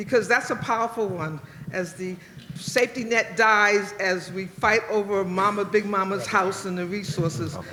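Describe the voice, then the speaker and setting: Noticeable noise fills the background. The speech moves at a moderate tempo. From Washington DC area. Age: 70s. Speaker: audience member, retired professor. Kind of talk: audience question. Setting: stage with audience.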